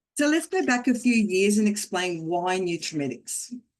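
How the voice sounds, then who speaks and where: A woman with an Australian accent speaks at a moderate pace with lively intonation. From Australia (Geelong), Croatian family, came at five. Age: 60s. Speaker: network marketing business leader, former teacher. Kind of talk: motivational talk. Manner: animated.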